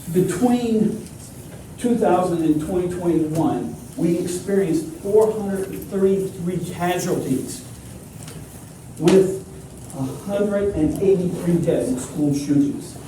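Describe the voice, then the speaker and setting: At a fairly slow pace with long, frequent pauses, a loud, high-pitched man speaks amid noticeable background noise and audible room echo. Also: ordinary pitch variation. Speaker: architect and lecturer. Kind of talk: conference presentation.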